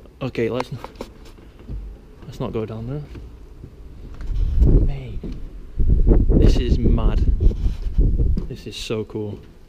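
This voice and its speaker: Over loud background noise, a man talks at a very slow pace, with long, frequent pauses. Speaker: urban explorer vlogger. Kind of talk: casual vlog chat. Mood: excited, slightly nervous. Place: church. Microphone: phone near.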